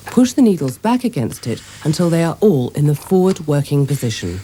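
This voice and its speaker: Her voice is very deep and low, with a dark, mellow tone. The woman speaks at a fairly quick pace with very wide pitch swings. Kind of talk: instructional narration. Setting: old VHS recording.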